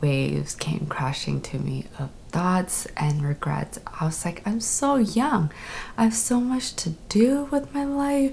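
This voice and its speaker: There is noticeable background noise as a woman speaks at a very slow pace. Her pitch swings very widely. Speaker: stroke survivor vlogger. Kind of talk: personal storytelling.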